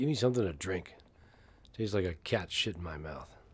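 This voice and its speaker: Putting on a raspy character voice, a man speaks at a fairly low pitch and fairly quick pace with lively intonation. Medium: short film.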